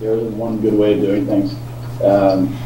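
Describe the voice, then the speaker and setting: A man at a moderate pace, amid audible room echo and noticeable background noise. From France, UK and US. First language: French. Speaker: tour guide. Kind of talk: casual Q&A with students. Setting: video call. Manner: halting, many fillers.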